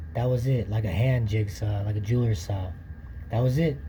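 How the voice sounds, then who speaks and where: A man with a medium-pitched voice talks at a fairly quick pace, and audible room echo is heard around him. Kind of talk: tutorial.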